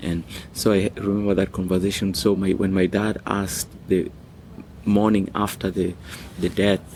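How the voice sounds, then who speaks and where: A man speaks with a Kenyan accent at a very deep, low pitch. His pace is fairly slow and his intonation is monotone and flat. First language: Swahili. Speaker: music school founder. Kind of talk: personal story, interview.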